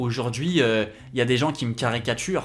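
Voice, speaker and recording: A man's normal speaking voice at medium pitch, lively intonation and a moderate pace, in a very clean recording with a silent background. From France. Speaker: YouTuber and graphic designer. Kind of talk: casual vlog commentary. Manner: casual, conversational.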